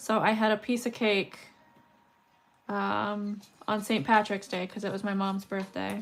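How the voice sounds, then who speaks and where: Over music in the background, a woman speaks loudly at a medium pitch. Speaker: beadwork streamer. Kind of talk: casual livestream chat. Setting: livestream.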